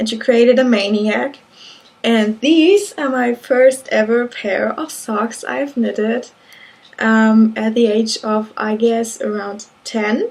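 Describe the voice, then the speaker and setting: With a German accent, a woman speaks at a very slow pace in a fairly high pitch and fairly even intonation. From Germany. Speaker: knitting vlogger. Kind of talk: casual monologue. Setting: indoors at home, window closed. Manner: halting.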